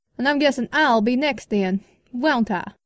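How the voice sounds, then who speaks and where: This is a put-on character voice. It sounds female and sits at a high pitch for a woman. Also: moderate pace. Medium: audio drama.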